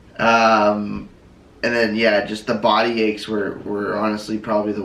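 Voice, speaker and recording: Speaking in a fairly low, monotone, flat voice at a moderate pace, a man is heard with audible room echo. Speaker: vlogger's partner. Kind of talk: casual chat. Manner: halting.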